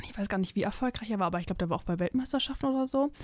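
An unremarkable speaking voice from a woman, fairly high in pitch with ordinary pitch variation. The recording is very clean, with a silent background. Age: 20s. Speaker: university student and book reviewer. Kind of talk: casual book discussion. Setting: studio.

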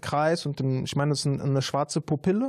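A man's fairly high voice with a dark, mellow tone at a fairly quick pace. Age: 30s. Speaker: social worker and rapper. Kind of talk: casual interview. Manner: hesitant with many fillers.

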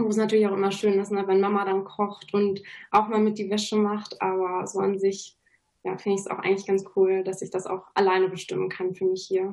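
A woman's medium-pitched, monotone voice with flat intonation, at a fairly quick pace. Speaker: university student. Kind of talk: studio talk show interview. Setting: studio.

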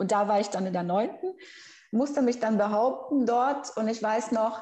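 A woman's fairly high, somewhat breathy voice with a dark, mellow tone, a Brazilian accent, ordinary pitch variation and a moderate pace. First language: Brazilian Portuguese (speaking German). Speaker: researcher and language teacher. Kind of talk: interview.

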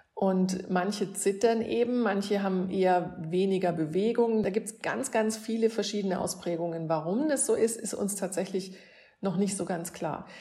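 Amid audible room echo, a woman speaks at a moderate pace in a dark, mellow, somewhat breathy tone of medium pitch with ordinary pitch variation. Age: 50s. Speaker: neurologist. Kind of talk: explaining to children.

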